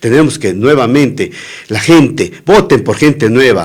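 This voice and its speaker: A man's voice moves in very wide pitch swings. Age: 60s. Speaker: political candidate. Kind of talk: radio interview.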